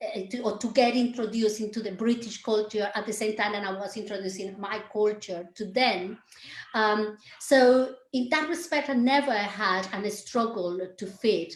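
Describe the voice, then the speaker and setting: Against noticeable background noise, a woman with a Colombian accent speaks at a moderate pace in a fairly high pitch with ordinary pitch variation. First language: Spanish. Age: 50s. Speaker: dance teacher and choreographer. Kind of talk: interview conversation.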